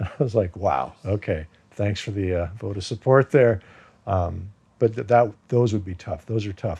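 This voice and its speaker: A man speaks at a moderate pace in a fairly low, dark, mellow tone that is somewhat breathy. His pitch varies in an ordinary way. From US, raised from age two after birth in Iran. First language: Farsi. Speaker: actor. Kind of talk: interview. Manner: casual, many fillers.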